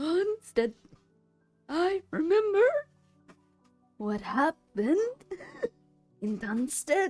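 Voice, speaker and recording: Over faint background music, a high, put-on character voice swings very widely in pitch, moving at a very slow pace with long, frequent pauses. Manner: eerie, changed voice.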